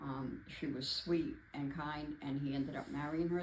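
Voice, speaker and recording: A woman speaks at a moderate pace in a very deep, low pitch. Her intonation is fairly even, and vocal fry runs through it. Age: 70s. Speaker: amateur film reviewer. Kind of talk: casual film review talk to camera. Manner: hesitant, halting.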